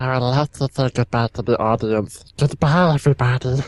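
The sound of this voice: A man speaks at a moderate pace in a put-on character voice, hissing at a medium pitch.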